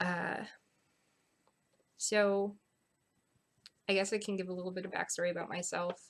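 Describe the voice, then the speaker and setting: A woman speaks at a moderate pace and medium pitch. Her intonation is monotone and flat, broken by long, frequent pauses. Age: 20s. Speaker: small business owner, seamstress. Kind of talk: convention panel talk. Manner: casual, hesitant with fillers.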